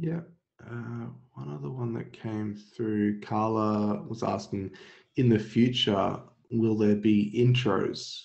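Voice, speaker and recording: Speaking at a very slow pace, a man with a fairly low pitch swings widely in loudness amid audible room echo. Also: ordinary pitch variation. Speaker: software webinar host. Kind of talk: webinar Q&A. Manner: low-energy.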